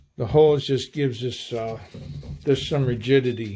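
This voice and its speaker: Dark, mellow male voice at a moderate pace, on a very clean recording with a silent background. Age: 50s. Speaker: hunting gear channel host. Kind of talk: tutorial. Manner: halting, many fillers.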